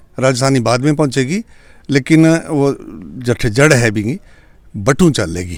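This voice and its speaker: A man speaks with a Punjabi accent and lively intonation. The recording is very clean, with a silent background. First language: Punjabi (speaking Hindi). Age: 70s. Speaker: poet and retired teacher. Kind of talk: interview.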